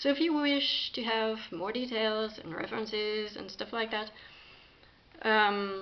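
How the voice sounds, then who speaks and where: A woman speaks with a French accent. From France. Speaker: spiritual practitioner, video creator. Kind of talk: talk to camera, partly reading an article. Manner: halting, many fillers.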